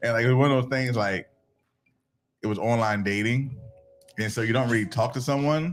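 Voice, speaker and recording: With an American accent, a man speaks at a fairly quick pace and medium pitch, using ordinary pitch variation and long, frequent pauses. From Virginia. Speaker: podcast co-host. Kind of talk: casual chat.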